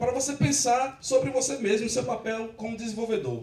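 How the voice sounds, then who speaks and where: Audible room echo and noticeable background noise surround the recording. A man talks at a high pitch and moderate pace. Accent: Rio Grande do Norte. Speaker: software developer, conference speaker. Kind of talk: tech conference talk. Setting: stage with audience. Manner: casual, joking with audience.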